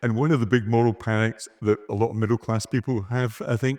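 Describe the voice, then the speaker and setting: A man speaks at a moderate pace with a strong Scottish accent, his pitch medium and his tone dark and mellow. The sound is dry and close, with no echo. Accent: broad Scottish. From Scotland. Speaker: podcast co-host. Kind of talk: live panel discussion. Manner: animated.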